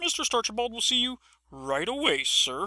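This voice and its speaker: A woman talks in a put-on character voice, high-pitched and at a moderate pace. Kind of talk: 1940s educational-film parody. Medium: comedy sketch. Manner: bright, overly polite.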